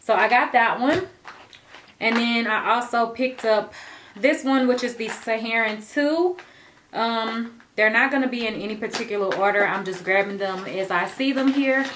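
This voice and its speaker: A woman talks at a moderate pace in a plain, everyday voice. Her pitch is fairly high, with ordinary pitch variation. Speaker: beauty vlogger. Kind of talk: casual product haul.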